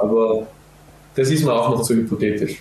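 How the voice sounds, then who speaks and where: With fairly even intonation, a man keeps up a fairly quick pace. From Austria, Vorarlberg. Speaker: professional footballer. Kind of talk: podcast interview. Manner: hesitant, many filler sounds.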